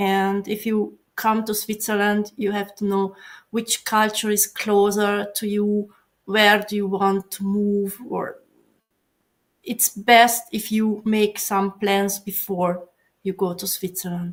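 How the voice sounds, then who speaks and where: A woman with a Hungarian accent speaks very slowly in a flat monotone at a medium pitch, with music in the background. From Hungary. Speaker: software professional. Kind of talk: casual chat. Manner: halting.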